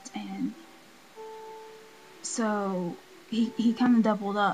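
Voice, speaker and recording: Noticeable background noise accompanies a woman speaking at medium pitch with ordinary pitch variation. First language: not English. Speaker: video blogger with a heart condition. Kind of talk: casual vlog. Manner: filled with ums and likes.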